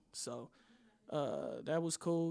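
The speaker is a man. His voice is high in pitch. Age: 20s. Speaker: music producer and podcaster. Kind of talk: casual chat. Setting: studio.

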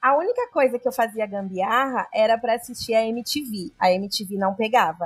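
A woman's fairly high, somewhat breathy voice at a moderate pace, with hardly any pauses. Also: ordinary pitch variation. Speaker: podcast co-host. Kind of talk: casual chat.

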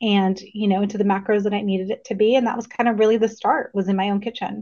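Speaking in an American accent, a woman keeps to a medium pitch.

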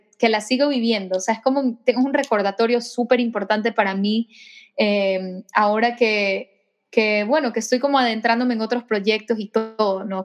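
This is a normal speaking voice with fairly even intonation. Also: woman. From Ecuador. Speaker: singer-songwriter. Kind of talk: interview.

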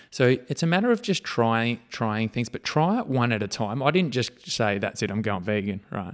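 Lively intonation carries this Australian accent through a very clean recording with a silent background. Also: man, medium pitch for a man, moderate pace, hardly any pauses. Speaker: podcast co-host, fitness-minded parent. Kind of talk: casual chat.

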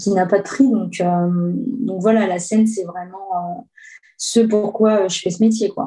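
A woman speaks at a fairly slow pace with a dark, mellow tone. Her voice is somewhat breathy, and her intonation stays fairly even. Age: 30s. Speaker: guitarist and singer. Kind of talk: casual interview.

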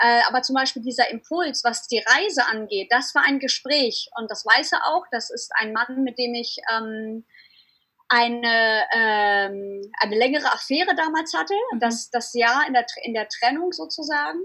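A woman talks at a fairly slow pace with a high pitch. Her intonation is lively. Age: 30s. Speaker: surf blogger and entrepreneur. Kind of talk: interview. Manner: animated.

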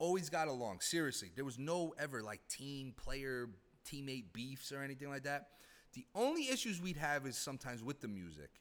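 Fairly quick, lively speech from a man with an unremarkable speaking voice and a fairly high pitch. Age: 30s. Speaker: former hockey team executive. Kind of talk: casual chat.

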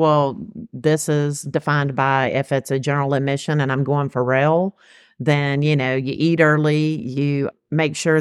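A woman with a Southern US accent, very deep and low in pitch, in monotone, flat intonation, with a dry, close sound with no echo on a very clean recording with a silent background. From Georgia, US South. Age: 50s. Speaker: music fan. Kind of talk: casual chat.

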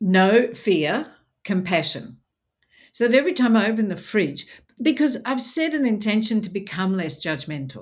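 Pitch swings very widely in an Australian accent. The voice is somewhat breathy. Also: woman, fairly high pitch for a woman, moderate pace. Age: 60s. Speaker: speaker and presenter. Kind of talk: casual interview. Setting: video call. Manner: animated.

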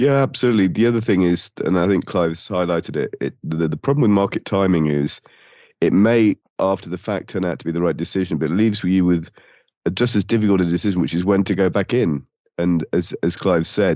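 Very deep and low, a man's voice with a dark, mellow tone races at a very fast pace with ordinary pitch variation. The sound is dry and close, with no echo. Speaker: podcast co-host. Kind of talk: interview.

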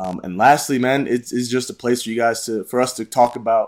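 Speaking at a fairly quick pace, a man with an American accent uses a medium pitch. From Illinois, Chicago suburbs. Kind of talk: casual chat. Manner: animated.

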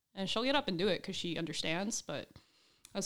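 Pitched in the medium range, a woman uses a normal speaking voice with lively intonation. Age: 20s. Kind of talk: casual chat.

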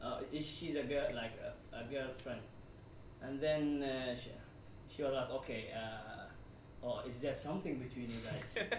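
Over noticeable background noise, a man with a medium pitch and ordinary pitch variation speaks at a fairly slow pace with long, frequent pauses. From Saudi Arabia (Jeddah), Somali heritage. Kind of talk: casual group discussion.

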